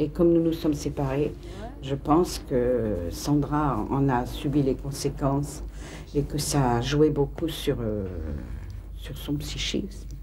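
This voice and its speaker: Room echo can be heard in the recording. The woman talks very slowly. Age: 60s. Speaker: interviewee, mother. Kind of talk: documentary interview testimony. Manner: halting, hesitant.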